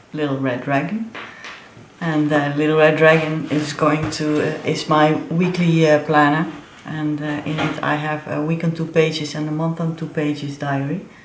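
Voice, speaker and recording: A woman with a very deep, low pitch speaks at a moderate pace in a monotone, flat intonation, with audible room echo and noticeable background noise. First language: not English. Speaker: planner and crafts vlogger. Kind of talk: show-and-tell tutorial. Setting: home studio. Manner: halting, many fillers.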